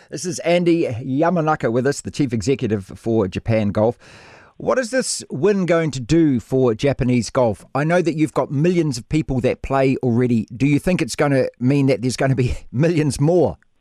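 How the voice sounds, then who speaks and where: A man with a New Zealand accent speaks in a fairly high pitch with a dark, mellow tone and lively intonation. The sound is dry and close with no echo, over a quiet background. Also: moderate pace. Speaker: radio host. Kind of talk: radio interview.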